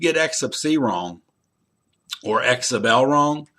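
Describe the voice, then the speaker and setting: A man with a bright, sharp tone. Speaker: college instructor. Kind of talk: recorded lecture to students. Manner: loud.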